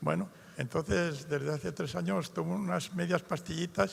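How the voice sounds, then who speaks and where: Using very wide pitch swings, a man talks with vocal fry. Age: 80s+. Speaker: audience member with Parkinson's. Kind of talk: question from audience.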